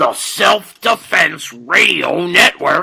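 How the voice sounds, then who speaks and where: The delivery is very slow. It's a man doing a put-on character voice. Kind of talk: announcer.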